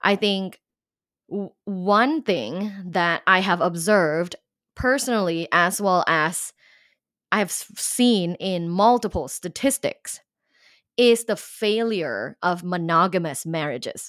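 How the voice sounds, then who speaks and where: The audio is very clean and the background silent. A woman talks very slowly. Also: medium pitch for a woman, lively intonation. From Thailand. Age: 30s. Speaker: sex and relationship coach, professor. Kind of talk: interview conversation.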